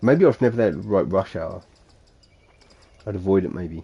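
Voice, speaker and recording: Speaking with a Suffolk accent, a man uses a dark, mellow tone and lively intonation at a fairly quick pace. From Suffolk, England. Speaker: gaming streamer. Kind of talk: casual talk to camera, live stream chatter.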